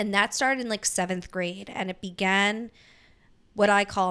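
In a very clean recording with a silent background, a woman with an American accent speaks at a medium pitch in a bright, sharp tone with fairly even intonation. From Delaware County, Pennsylvania (Philadelphia area). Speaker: podcast co-host. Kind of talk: casual chat. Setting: home recording with fan running.

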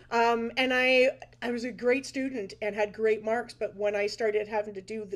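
In a Canadian accent, an unremarkable speaking voice moves at a moderate pace. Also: woman. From Ontario, Canada (Brantford). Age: 50s. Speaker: dance and music teacher. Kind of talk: casual interview chat. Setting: video call.

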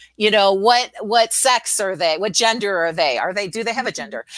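The woman has an unremarkable speaking voice at medium pitch. Her intonation is lively. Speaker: LinkedIn expert and speaker. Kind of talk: live-streamed interview, business advice. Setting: live stream.

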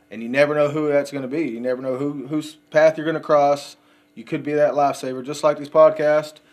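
With a Texan accent, a man speaks at a fairly quick pace and fairly high pitch. His intonation is monotone and flat. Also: big swings in loudness. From West Texas, Odessa. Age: 30s. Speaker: recovering addict. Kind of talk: recovery testimony.

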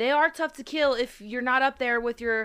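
Bright and sharp in tone, the voice shows ordinary pitch variation on a very clean recording with a silent background. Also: woman. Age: 20s. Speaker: podcast host, gamer. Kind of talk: casual chat.

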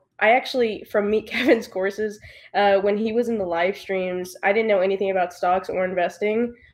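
An unremarkable speaking voice with fairly even intonation and an American accent. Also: woman. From United States. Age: 20s. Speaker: real estate agent and young investor. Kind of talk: interview.

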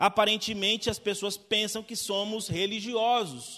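In a bright, sharp tone, a man with a high pitch speaks at a fairly slow pace and with fairly even intonation. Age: 30s. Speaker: pastor. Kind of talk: sermon.

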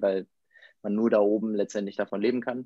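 This man has a dark, mellow tone and a fairly low pitch. He speaks in a flat monotone, heard dry and close with no echo. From northern Germany, near Bremen. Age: 30s. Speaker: former tennis pro, company co-founder. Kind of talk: podcast interview.

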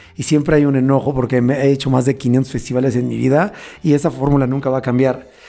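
Very fast and flat in intonation, a man talks at a medium pitch with a dark, mellow tone. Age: 40s. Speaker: events bar business owner. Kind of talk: casual interview.

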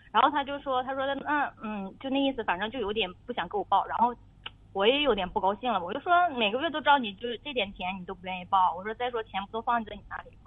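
A woman's fairly high voice at a very fast pace, with lively intonation and big swings in loudness. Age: 30s. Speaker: radio caller with marriage problem. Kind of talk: advice call-in conversation. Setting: phone call. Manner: halting, many fillers.

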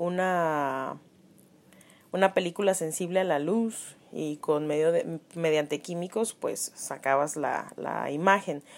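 Very clean and set against a silent background, a woman's fairly low voice moves at a very slow pace with fairly even intonation. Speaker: graphic design student podcasting for class. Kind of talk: casual solo podcast talk.

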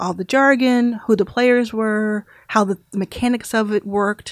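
A woman with an American accent and a plain, everyday voice, medium in pitch, at a moderate pace, in a dry, close sound with no echo. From Texas, Dallas. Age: 30s. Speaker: venture capitalist. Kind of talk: interview.

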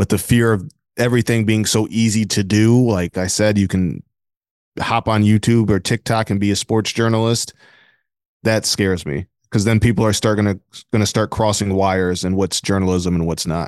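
Against a quiet background, a man with an American accent and an unremarkable speaking voice talks at a moderate pace, fairly low in pitch and fairly even in intonation, in a dry, close sound with no echo. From Flint, Michigan. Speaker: sports beat writer. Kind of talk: casual interview.

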